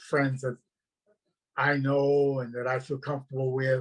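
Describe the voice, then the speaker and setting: In monotone, flat intonation, a man with a fairly high pitch speaks at a moderate pace. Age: 80s+. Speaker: cycling club president. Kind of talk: panel discussion.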